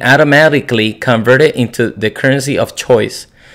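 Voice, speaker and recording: A man with a non-native accent speaks at a medium pitch and a fairly quick pace, keeping his intonation fairly even. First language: not English. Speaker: crypto YouTuber. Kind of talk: explainer video. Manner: halting.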